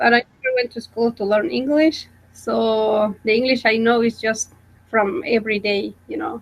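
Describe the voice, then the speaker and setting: Speaking in a Guatemalan accent, a woman has a fairly high pitch. Her pace is moderate and her pitch varies in an ordinary way. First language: Spanish. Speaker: college student. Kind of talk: casual chat. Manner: halting.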